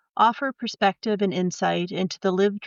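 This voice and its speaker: A woman with a plain, everyday voice, fairly even intonation and a moderate pace. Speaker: podcast host. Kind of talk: podcast intro.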